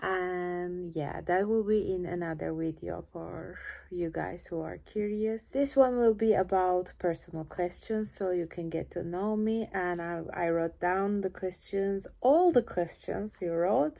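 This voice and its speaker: Her tone dark and mellow, a woman with a Turkish accent speaks with hardly any pauses. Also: medium pitch for a woman, ordinary pitch variation, fairly slow pace. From Turkey. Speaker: cellist. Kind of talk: casual Q&A vlog. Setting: home, lying on couch in living room. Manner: shy, awkward.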